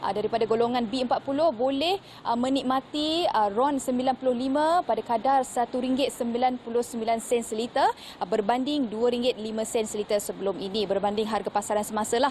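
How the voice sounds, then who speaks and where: A woman talks with a high pitch and ordinary pitch variation. Noticeable background noise is present. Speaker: news reporter. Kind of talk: live news report. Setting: outdoors at a petrol station.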